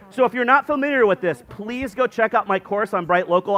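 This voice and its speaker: Through noticeable background noise, a man speaks at a fairly quick pace in an animated tone with ordinary pitch variation. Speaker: SEO conference speaker. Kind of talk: conference talk. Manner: fast.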